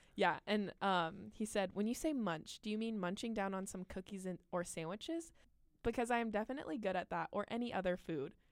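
A woman's normal speaking voice at medium pitch, fairly quick with lively intonation, in a very clean recording with a silent background. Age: 20s. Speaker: podcast co-host. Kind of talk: casual chat.

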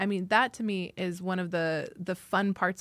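A woman with an American accent and medium pitch speaks in an ordinary speaking voice with fairly even intonation, on a very clean recording with a silent background. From US, rural Idaho. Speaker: diplomat. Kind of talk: interview.

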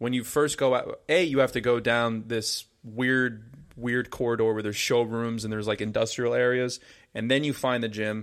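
On a very clean recording with a silent background, a man with an American accent and an ordinary speaking voice talks at a moderate pace, medium in pitch, with fairly even intonation. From New Jersey (Paramus). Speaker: podcast co-host. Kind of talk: casual chat.

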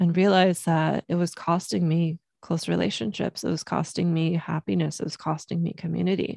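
With an American accent, a woman talks at a fairly quick pace with hardly any pauses, her fairly low pitch showing ordinary variation in a dry, close sound with no echo. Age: 30s. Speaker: self-love coach and podcast host. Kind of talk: solo podcast monologue. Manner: casual, filler-heavy.

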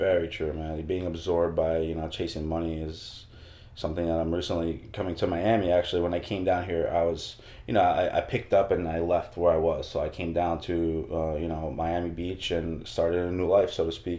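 A very deep, low-pitched man's voice with an American accent, fairly quick and monotone, flat, with audible room echo. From Northern New Jersey. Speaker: fitness trainer. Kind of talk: casual chat.

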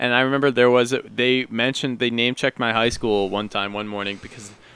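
The recording is dry and close, with no echo. A man speaks at a medium pitch with ordinary pitch variation. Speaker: podcast co-host. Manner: casual, many filler words.

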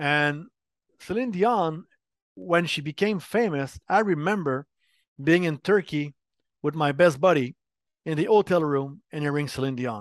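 In a Quebec accent, the speaker talks at a fairly slow pace with long, frequent pauses and lively intonation, the sound dry and close with no echo against a quiet background. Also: man, fairly high pitch for a man. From Quebec, Montreal. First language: French. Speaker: game industry marketing executive. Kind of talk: interview.

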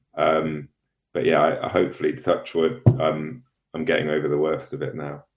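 A man with a British accent, music in the background. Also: moderate pace. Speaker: show correspondent. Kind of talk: casual chat. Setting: video call.

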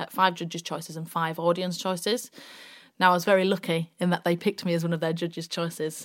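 A woman with a West Yorkshire accent, fairly low in pitch, monotone and flat, at a very fast pace, on a very clean recording with a silent background. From West Yorkshire, Bradford. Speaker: radio presenter and actress. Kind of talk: casual chat.

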